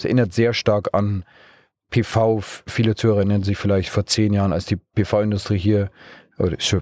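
Speaking at a moderate pace with a Bavarian accent, a man uses a dark, mellow tone and fairly low pitch in a very clean recording with a silent background and a dry, close sound with no echo. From Bavaria, Munich region. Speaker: startup co-founder and managing director. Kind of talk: interview. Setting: mobile podcast studio in a car at a trade fair.

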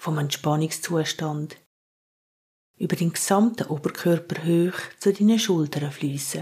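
A woman with a fairly low pitch and a dark, mellow tone speaks very slowly, somewhat breathy, in a calm, soothing tone with fairly even intonation. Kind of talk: guided meditation. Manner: slow, calm, soothing.

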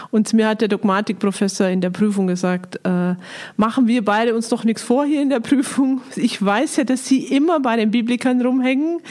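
Noticeable background noise runs behind this recording. A woman talks at a moderate pace with ordinary pitch variation. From Lower Bavaria, Germany. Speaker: biblical scholar, director of a Bible institute. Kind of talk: interview. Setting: monastery, in person.

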